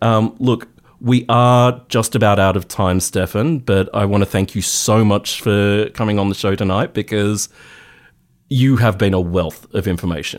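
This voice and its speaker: On a very clean recording with a silent background, a man with an Australian accent talks at a moderate pace. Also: fairly low pitch for a man, ordinary pitch variation. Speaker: radio host. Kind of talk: radio interview. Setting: radio studio.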